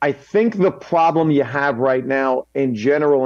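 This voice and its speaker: Here is an unremarkable speaking voice moving at a fairly slow pace with ordinary pitch variation. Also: man. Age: 50s. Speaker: comedian. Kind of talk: panel discussion.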